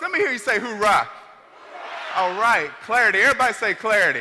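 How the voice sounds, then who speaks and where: Over noticeable background noise, a man with an extremely high pitch speaks in a raised, projected voice. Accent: American. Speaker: motivational speaker. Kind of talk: motivational speech. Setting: stage with audience. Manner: animated; loud.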